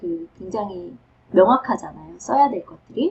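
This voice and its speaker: A somewhat breathy woman's voice at a medium pitch, with lively intonation and a moderate pace. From South Korea. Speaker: professor. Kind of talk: advice talk.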